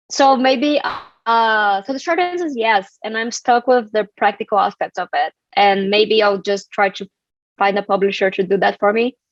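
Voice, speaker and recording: On a dry, close recording with no echo, a woman speaks at a moderate pace and a fairly high pitch with lively intonation. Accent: Brazilian. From Brazil. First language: Portuguese. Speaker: community strategist and author. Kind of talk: live online book club discussion.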